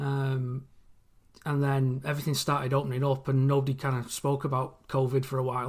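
Speaking fairly quickly in a flat monotone, a man with an English accent has a fairly high, somewhat breathy voice, recorded very cleanly against a silent background. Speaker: listener fan guest. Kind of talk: casual interview.

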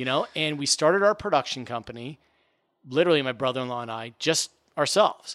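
A man with a General American accent talks at a very fast pace. His medium pitch has ordinary variation, and his loudness swings widely. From US Mid-Atlantic (Washington D.C. area). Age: 40s. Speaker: TV producer and sports science presenter. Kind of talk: casual interview. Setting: in person.

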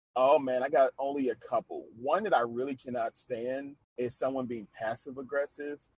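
A man of medium pitch speaks in an ordinary speaking voice with fairly even intonation at a moderate pace, with hardly any pauses. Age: 30s. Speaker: podcast host. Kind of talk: casual interview chat.

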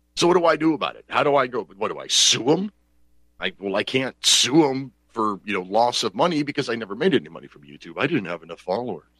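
At a very fast pace, a man with a medium pitch and a bright, sharp tone uses very wide pitch swings, big swings in loudness and vocal fry. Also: dry, close sound with no echo. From Pennsylvania. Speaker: talk radio host. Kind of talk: call-in talk show. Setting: home studio. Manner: animated.

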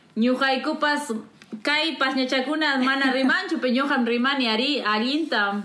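A woman with a high pitch and ordinary pitch variation speaks at a fairly slow pace and very even loudness over noticeable background noise. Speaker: podcast host. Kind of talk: casual interview. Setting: living in the US.

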